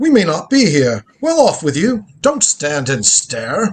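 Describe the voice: Using a put-on character voice, a man talks at a fairly slow pace in a fairly high pitch with a slightly husky edge and very wide pitch swings.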